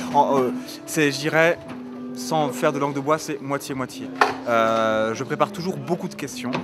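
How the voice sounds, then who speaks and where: A man's fairly high voice at a fairly slow pace, with ordinary pitch variation, long, frequent pauses and music in the background. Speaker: journalist and panel moderator. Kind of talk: interview answers.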